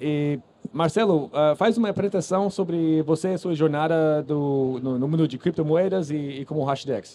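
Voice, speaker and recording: A man with a non-native accent, fairly high pitch, a dark, mellow tone and ordinary pitch variation. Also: moderate pace. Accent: foreign accent in Portuguese. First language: English (speaking Portuguese). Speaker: podcast host and founder of a crypto news platform. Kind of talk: live panel moderation. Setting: stage with audience at a conference stand. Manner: halting, many fillers and restarts.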